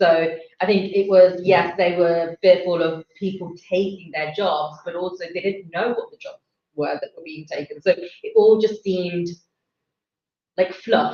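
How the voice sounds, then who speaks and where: A woman speaks fairly slowly at a medium pitch in a flat monotone, her loudness swinging widely. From England. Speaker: election night panelist. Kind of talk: panel discussion.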